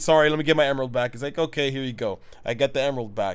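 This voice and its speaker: Fairly high pitch from a man in an ordinary speaking voice, with ordinary pitch variation, in a very clean recording with a silent background. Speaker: podcast co-host. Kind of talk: casual chat.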